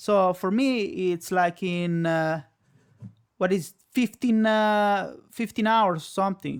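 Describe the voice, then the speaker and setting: The speaker has an Italian accent, and the recording is very clean with a silent background. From Italy. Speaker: live streamer. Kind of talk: casual chat. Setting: live stream.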